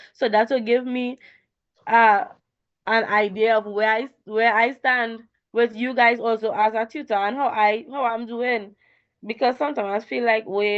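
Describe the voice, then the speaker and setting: A woman with a normal speaking voice talks at a moderate pace and a fairly high pitch, her pitch varying in an ordinary way. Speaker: tutor. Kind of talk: online tutorial.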